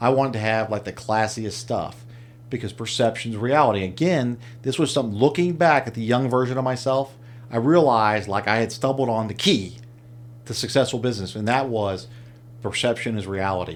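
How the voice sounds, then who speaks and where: A man's normal speaking voice at medium pitch, fairly quick, with ordinary pitch variation. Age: 50s. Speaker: entrepreneur. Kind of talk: casual chat.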